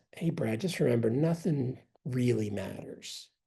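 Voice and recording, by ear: A put-on character voice at low-to-middle pitch and moderate pace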